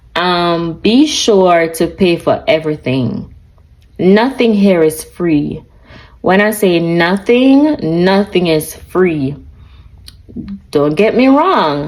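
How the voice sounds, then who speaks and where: A woman speaks in a Jamaican accent at a very slow pace, with long, frequent pauses. Her fairly low voice has lively intonation and very even loudness. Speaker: lifestyle vlogger. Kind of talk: casual chat. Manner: animated.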